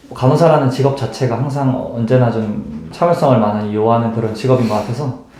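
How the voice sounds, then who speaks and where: A man talks at a fairly quick pace with hardly any pauses and ordinary pitch variation. Noticeable background noise can be heard. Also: medium pitch for a man. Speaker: intensive care nurse. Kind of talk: interview answer.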